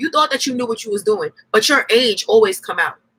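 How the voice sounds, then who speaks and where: A woman talks at a very fast pace in an animated tone, with music playing in the background. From New York, Yonkers. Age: 20s. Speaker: YouTuber. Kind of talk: casual livestream talk.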